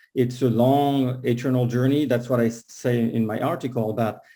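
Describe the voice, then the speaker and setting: A man with a dark, mellow tone speaks at a medium pitch and a moderate pace. His intonation is monotone and flat. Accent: French. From France, Paris. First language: French. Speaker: concert pianist and piano teacher. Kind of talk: casual talk at an online book launch event.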